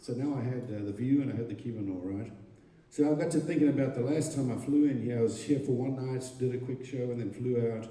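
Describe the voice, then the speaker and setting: A man with a Zimbabwean accent talks at a fairly quick pace, with noticeable background noise and audible room echo. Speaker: songwriter. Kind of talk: stage storytelling. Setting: stage with audience. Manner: halting.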